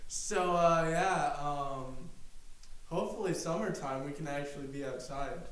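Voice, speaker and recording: A man's fairly high voice with ordinary pitch variation, noticeable background noise and audible room echo. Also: fairly slow pace. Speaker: podcast co-host. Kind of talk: casual chat. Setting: home garage. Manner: halting, many fillers.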